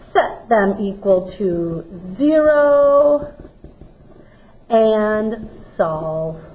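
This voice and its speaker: At a very slow pace, the voice makes very wide pitch swings, with audible room echo around it. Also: woman, fairly high pitch for a woman. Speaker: math teacher. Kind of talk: recorded lesson.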